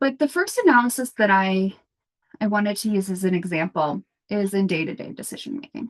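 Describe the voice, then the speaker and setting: Lively intonation marks this woman's medium-pitched voice. The sound is dry and close, with no echo. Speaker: food rescue coordinator and consultant. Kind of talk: conference presentation. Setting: conference.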